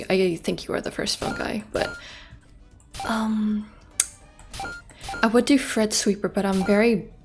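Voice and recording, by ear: Music plays in the background as a woman talks at a fairly slow pace. Her medium pitch moves with ordinary variation.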